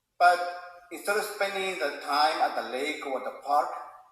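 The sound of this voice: Heard with strong room echo, the voice has a fairly bright tone, ordinary pitch variation and a moderate pace. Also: man, fairly high pitch for a man.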